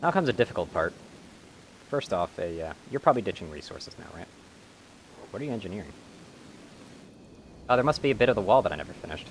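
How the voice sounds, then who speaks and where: Against noticeable background noise, a man of medium pitch talks very fast with very wide pitch swings, big swings in loudness, and long, frequent pauses. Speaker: video game streamer. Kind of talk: live gameplay commentary. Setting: live stream.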